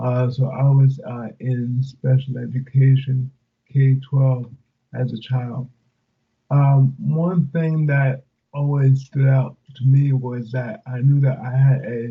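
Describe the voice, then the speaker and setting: At a very slow pace, a man with a medium-pitched, somewhat breathy voice speaks in a monotone, flat intonation. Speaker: motivational speaker. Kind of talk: interview. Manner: halting, many fillers. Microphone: remote line, audio dropped.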